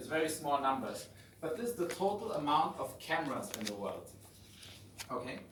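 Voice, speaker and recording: A man with a German accent speaks at a fairly high pitch, his voice swinging very widely and broken by long, frequent pauses. Room echo is audible, and there's noticeable background noise. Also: moderate pace. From Germany. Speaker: visiting finance professor and fintech founder. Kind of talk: lecture. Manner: conversational.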